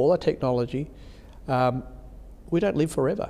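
A man with an Australian accent has a dark, mellow tone, talking at a moderate pace with lively intonation. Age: 50s. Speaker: bishop. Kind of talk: interview conversation.

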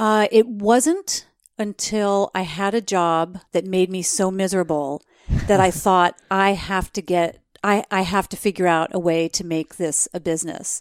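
Dry and close with no echo on a very clean recording over a silent background, a woman with a plain, everyday voice talks at a fairly slow pace and medium pitch with fairly even intonation. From New Jersey, US. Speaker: travel expert and podcast host. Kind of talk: interview conversation.

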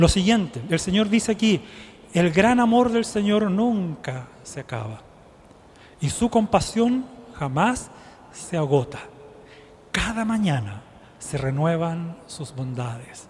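Pitch swings very widely as the speech moves at a very slow pace with long, frequent pauses. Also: man, high pitch for a man. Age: 50s. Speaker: lay preacher. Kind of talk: sermon. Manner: rhetorical questions to congregation.

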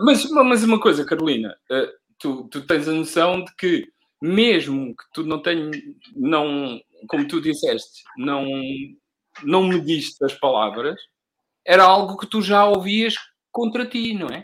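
Very slowly and with long, frequent pauses, a man speaks in a high voice, his pitch swinging very widely and his loudness shifting a lot. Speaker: podcast host. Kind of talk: casual interview.

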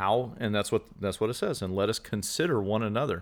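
On a very clean recording with a silent background, a plain, everyday voice speaks with ordinary pitch variation. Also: man. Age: 40s. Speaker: outreach leader. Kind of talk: casual chat.

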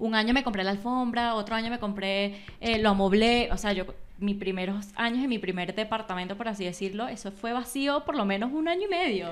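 Delivered at a fairly quick pace in an animated tone, the speech has a Venezuelan accent. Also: woman, fairly high pitch for a woman, ordinary pitch variation. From Venezuela, Valencia (Carabobo). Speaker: graphic designer. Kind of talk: casual chat.

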